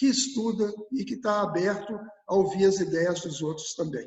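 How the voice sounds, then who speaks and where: A man talks at a moderate pace. His pitch is high. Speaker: environmentalist. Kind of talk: interview answer.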